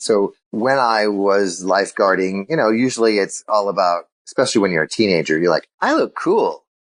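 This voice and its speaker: Here is a man with a plain, everyday voice and a fairly low pitch. He talks at a fairly quick pace with ordinary pitch variation, in a dry, close sound with no echo. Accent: American. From Illinois. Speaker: sales keynote speaker. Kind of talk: interview.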